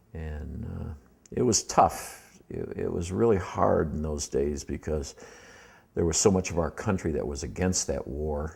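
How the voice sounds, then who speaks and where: With an American accent and vocal fry, the speaker talks at a fairly slow pace with ordinary pitch variation. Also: man, very deep, low pitch for a man. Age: 60s. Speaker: war veteran. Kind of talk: personal life-story interview. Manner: halting, many fillers.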